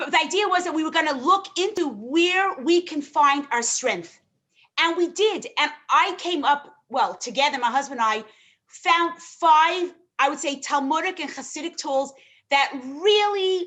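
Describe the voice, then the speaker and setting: With a New York accent, a woman speaks at an extremely high pitch in a bright, sharp tone, her intonation lively and her pace fairly slow. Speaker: rebbetzin and relationship guest expert. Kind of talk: live show interview.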